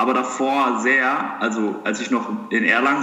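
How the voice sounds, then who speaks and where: With lively intonation and a medium pitch, a man speaks over noticeable background noise and audible room echo. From Germany, southern Hesse (Heppenheim near Darmstadt). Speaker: medical student. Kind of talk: casual interview chat.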